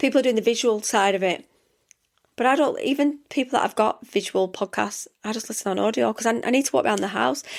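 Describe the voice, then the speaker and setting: Someone talks at a very fast pace with vocal fry and ordinary pitch variation, captured in a very clean recording against a silent background. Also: woman. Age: 40s. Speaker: podcast host, self-development mentor. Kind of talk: solo podcast monologue. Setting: home studio. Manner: chatty, conversational.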